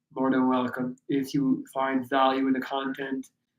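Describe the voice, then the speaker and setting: A man with a fairly high pitch at a very slow pace. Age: 30s. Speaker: fitness coach and livestreamer. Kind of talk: live stream Q&A. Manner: casual, animated.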